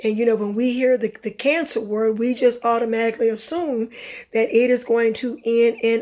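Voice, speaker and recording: A woman with a fairly high pitch speaks at a moderate pace, her intonation fairly even. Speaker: vlogger and cancer survivor. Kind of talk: personal testimony. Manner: halting, many fillers.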